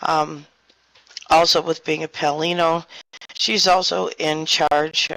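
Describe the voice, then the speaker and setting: A soft-spoken woman with a very deep, low pitch talks at a very slow pace, her voice dropping into vocal fry. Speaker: virtual world co-owner. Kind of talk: community meeting address.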